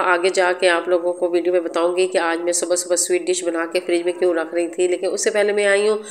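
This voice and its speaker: Noticeable background noise under a woman's moderately paced speech at medium pitch. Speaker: home and cooking vlogger. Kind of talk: vlog voice-over. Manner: halting with fillers.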